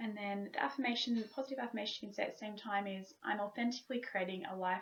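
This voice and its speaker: Somewhat breathy, a woman with an Australian accent talks at a very fast pace with ordinary pitch variation. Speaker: wellness vlogger. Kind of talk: tutorial. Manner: stiff, robotic. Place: home room. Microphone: webcam.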